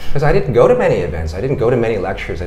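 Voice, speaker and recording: A man speaks with an American accent, with audible room echo and noticeable background noise. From United States. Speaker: founder of a public lecture platform. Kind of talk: podcast interview. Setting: office.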